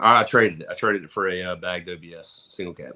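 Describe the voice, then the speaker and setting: Talking at a very fast pace, a man with a Southern US accent has a bright, sharp tone. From Mississippi. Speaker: truck show promoter. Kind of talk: casual chat. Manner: casual, hesitant with fillers.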